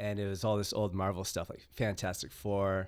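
The speaker has an American accent and talks at a fairly quick pace. The recording is very clean, with a silent background. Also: man. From United States. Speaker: comics creator and festival organiser. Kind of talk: casual interview chat.

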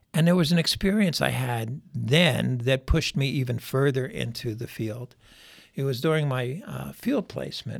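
Speaking at a moderate pace with an American accent, a man uses lively intonation in a somewhat breathy voice of medium pitch. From US Northeast, Philadelphia. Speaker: psychologist and clinical supervisor. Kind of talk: interview.

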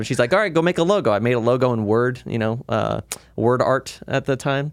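A man speaks with an American accent. He has a medium pitch and a plain, everyday voice. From Las Vegas, Nevada, US. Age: 20s. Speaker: studio co-owner and online creator. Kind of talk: casual chat.

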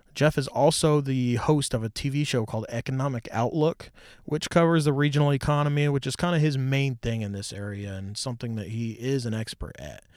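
An unremarkable speaking voice belongs to this man with a medium pitch and ordinary pitch variation. He talks at a fairly quick pace with hardly any pauses, on a very clean recording with a silent background. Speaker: podcast host. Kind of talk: casual interview chat.

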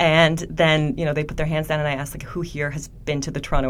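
A woman with a very deep, low pitch talks at a very fast pace amid audible room echo. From Poland. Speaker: film festival programmer. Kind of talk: interview conversation. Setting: podcast recording space at a film festival.

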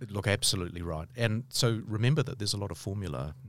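A man with a New Zealand accent at a fairly quick pace. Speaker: law professor. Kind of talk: interview.

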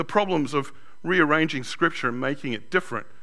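Talking at a very fast pace, a man with an Australian accent has a fairly high pitch and a bright, sharp tone. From Sydney, Australia. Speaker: pastor. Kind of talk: sermon. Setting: church.

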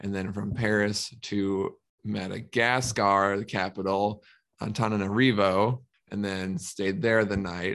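Speaking at a fairly slow pace with an American accent, a man with a fairly low pitch keeps his intonation fairly even in a plain, everyday voice. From Minnesota, US Midwest. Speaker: reptile animal care professional. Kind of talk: podcast interview.

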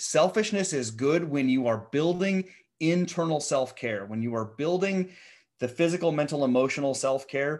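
Against a quiet background, a man with a Midwestern American accent talks in a fairly high voice with lively intonation. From US Midwest (central Nebraska). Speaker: founder coach and entrepreneur. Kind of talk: podcast interview.

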